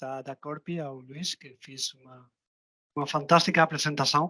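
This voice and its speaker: With a non-native accent, a man speaks at a moderate pace and fairly high pitch in a dry, close sound with no echo. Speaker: software vendor representative. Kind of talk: webinar closing remarks. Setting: online webinar. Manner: halting, repeats words.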